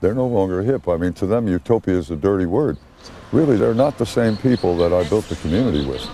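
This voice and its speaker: Over noticeable background noise, the speech runs at a fairly quick pace with lively intonation. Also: man. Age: 80s+. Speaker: commune founder. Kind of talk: interview testimony.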